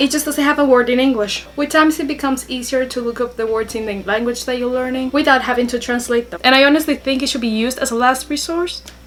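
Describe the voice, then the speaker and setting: With a Spanish accent, a woman talks at a very fast pace with hardly any pauses, her pitch high and her intonation fairly even. Noticeable background noise is present. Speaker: YouTuber. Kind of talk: vlog tips talk.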